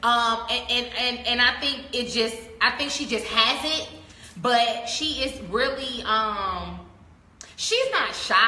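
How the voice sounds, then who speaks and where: The voice is loud and moves at a very slow pace. Noticeable background noise and audible room echo surround it. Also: woman, high pitch for a woman, fairly even intonation. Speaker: media personality. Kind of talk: interview.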